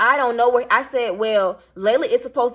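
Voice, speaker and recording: With a raised, projected voice, a woman speaks in an animated tone at a high pitch. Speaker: vlogger, single parent. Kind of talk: storytime rant vlog. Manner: not loud, doesn't yell.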